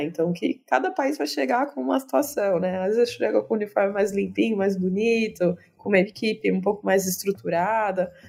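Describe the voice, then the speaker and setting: Moving at a moderate pace, a woman speaks at medium pitch. Her voice makes very wide pitch swings. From Campinas, São Paulo state, Brazil. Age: 30s. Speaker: sports historian. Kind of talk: interview.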